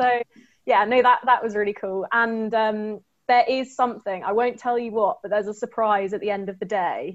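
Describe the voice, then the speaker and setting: A woman with an unremarkable speaking voice talks at a moderate pace, her pitch fairly high and her intonation fairly even. The background is quiet. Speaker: tech graduate trainee. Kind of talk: webinar panel talk.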